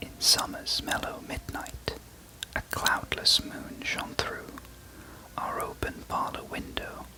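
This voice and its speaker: Someone whispers in a British accent. Noticeable background noise sits behind the voice. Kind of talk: poetry reading. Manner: whispered, soft, relaxing ASMR delivery.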